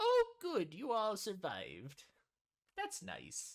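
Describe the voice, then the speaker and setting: The pace here is very slow. It is delivered in a put-on character voice. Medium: actual play. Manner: gentle, motherly.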